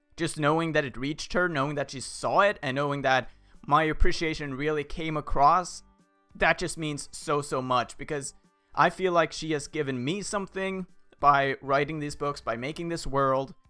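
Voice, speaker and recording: A man at fairly high pitch with fairly even intonation, music in the background. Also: moderate pace. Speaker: fan video creator and voice actor. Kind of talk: casual talk to camera.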